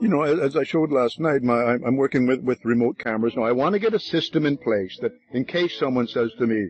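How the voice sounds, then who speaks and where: A voice rattles along at a very fast pace with hardly any pauses and lively intonation. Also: man, medium pitch for a man, very even loudness. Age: 70s. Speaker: wildlife biologist. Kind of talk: interview. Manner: halting.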